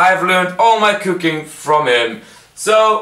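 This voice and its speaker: A man speaks in a raised, projected voice at a fairly slow pace with ordinary pitch variation, with audible room echo over a quiet background. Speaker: home cook vlogger. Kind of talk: casual vlog chat. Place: kitchen. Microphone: phone near.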